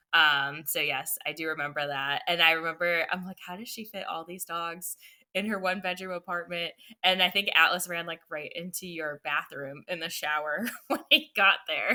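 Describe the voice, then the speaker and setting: Speaking at a moderate pace with ordinary pitch variation, a woman with an American accent has a bright, sharp tone in a very clean recording with a silent background. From Buffalo, New York. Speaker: podcast guest, dog owner. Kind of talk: interview answer.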